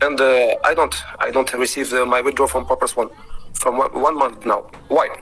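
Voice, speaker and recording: With music in the background, the speaker uses a non-native accent at a moderate pace, keeping the loudness very even. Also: man. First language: not English. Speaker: member asking questions. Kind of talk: online Q&A session. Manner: halting.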